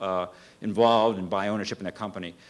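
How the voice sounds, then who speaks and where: Very fast and monotone with flat intonation, a man speaks at a fairly low pitch. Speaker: business owner, conference speaker. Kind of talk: conference presentation; Q&A answer. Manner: halting, many fillers and repeats.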